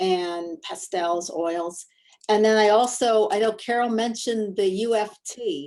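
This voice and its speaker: A woman with an American accent has a plain, everyday voice, medium in pitch with fairly even intonation. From US Midwest, Ohio. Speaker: portrait artist and art teacher. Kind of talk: class introductions, casual.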